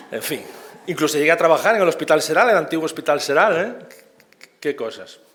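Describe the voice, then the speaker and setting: Over noticeable background noise, the voice moves at a very fast pace with ordinary pitch variation. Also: man. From Galicia, Spain (Vigo). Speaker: operating room nurse, conference speaker. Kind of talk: conference talk. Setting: conference stage with audience. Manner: informal, halting with repetitions.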